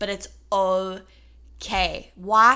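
A woman with a South African accent. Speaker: podcast co-host. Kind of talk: faith-based casual discussion.

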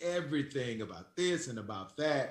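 With an American accent, a man speaks at a fairly slow pace in a fairly high pitch. His pitch swings very widely, and the room echo is audible. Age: 40s. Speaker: sports radio host. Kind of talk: casual chat.

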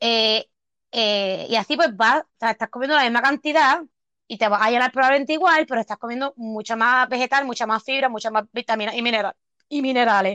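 A woman with a Puerto Rican accent speaks at a high pitch and a fairly quick pace, with ordinary pitch variation. The sound is dry and close with no echo, over a quiet background. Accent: Puerto Rican, particular and pleasant. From Puerto Rico. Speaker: podcast co-host. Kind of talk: casual chat.

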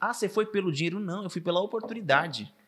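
In a very clean recording over a silent background, a man rattles along at a very fast pace. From Araçatuba, São Paulo state, Brazil. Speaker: TV reporter. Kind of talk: casual chat.

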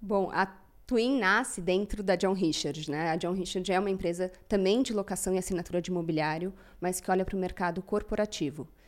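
A woman with a normal speaking voice talks fairly quickly at a medium pitch, with ordinary pitch variation. The recording is very clean, with a silent background. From Brazil, São Paulo. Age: 30s. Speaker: company CEO. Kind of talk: interview.

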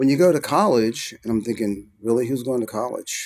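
This man uses an ordinary speaking voice with an American accent and ordinary pitch variation. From US Northeast (Philadelphia, New York). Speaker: record mixer and engineer. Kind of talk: interview conversation.

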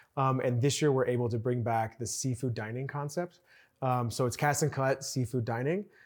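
A man speaks in a normal speaking voice at medium pitch and a moderate pace. His intonation is fairly even, and the recording is very clean with a silent background. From Chicago, US Midwest. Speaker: resort food and beverage executive. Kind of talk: casual interview.

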